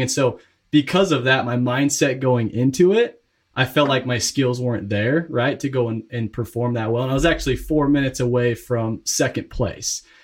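Somewhat breathy, a man talks at a moderate pace with ordinary pitch variation. The recording is very clean, with a silent background. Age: 20s. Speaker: real estate investor. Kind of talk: interview.

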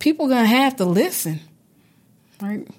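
A woman is speaking. Her intonation is lively. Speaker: English department faculty co-host. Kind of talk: casual panel chat. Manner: animated, joking.

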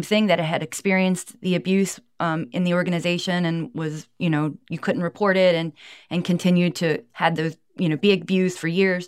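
A woman with a normal speaking voice talks at a fairly quick pace, her pitch fairly low and her intonation fairly even. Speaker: former cult member and abuse survivor advocate. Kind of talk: interview testimony.

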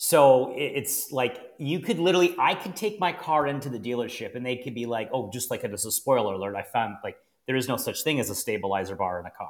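With a Canadian accent and an ordinary speaking voice, a man talks at a fairly quick pace with hardly any pauses, his medium-pitched delivery marked by lively intonation. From Canada, Niagara region, Ontario. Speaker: financial planner and podcast host. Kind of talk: casual chat.

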